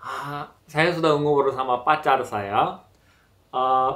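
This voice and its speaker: Against a quiet background, a man speaks very slowly. He has a Korean accent. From South Korea. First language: Korean (speaking Indonesian). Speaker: Korean language teacher. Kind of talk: casual interview chat. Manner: halting. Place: home room.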